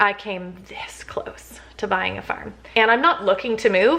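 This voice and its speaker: A woman with a Canadian accent speaks fairly slowly at a medium pitch, her tone bright and sharp and her intonation lively. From Canada, Toronto area. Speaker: lifestyle vlogger. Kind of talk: casual vlog chat to camera. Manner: chatty, with many fillers.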